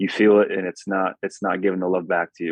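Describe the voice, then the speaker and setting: A man's fairly low voice, monotone and flat, at a fairly quick pace. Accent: American. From Connecticut, US. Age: 20s. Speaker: pro football quarterback. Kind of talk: podcast interview.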